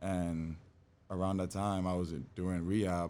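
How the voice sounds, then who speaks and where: A man with a Bahamian accent speaks at a fairly slow pace, his very deep, low pitch and dark, mellow tone delivered in a monotone, flat intonation. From Bahamas, Nassau. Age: 20s. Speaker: fitness trainer. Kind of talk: podcast interview.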